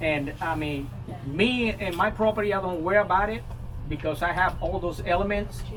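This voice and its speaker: Amid noticeable background noise and audible room echo, a man with a high pitch talks at a moderate pace with ordinary pitch variation. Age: 60s. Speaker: master gardener leading a composting workshop. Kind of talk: informal workshop Q&A. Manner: halting, many fillers and repetitions.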